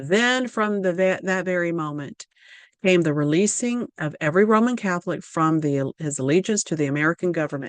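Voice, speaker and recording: A woman talks fairly quickly with a Southern US accent. Her pitch is fairly low, and the background is quiet. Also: lively intonation, dry, close sound with no echo. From Louisiana, US South. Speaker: religious video presenter. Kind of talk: prophecy lecture reading documents. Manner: halting, with fillers and self-corrections.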